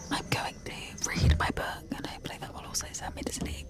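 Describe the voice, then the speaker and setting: Fairly quick whispered speech from a woman, noticeable background noise underneath. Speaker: travel vlogger. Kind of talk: casual vlog. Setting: on a sleeper train. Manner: very soft whisper.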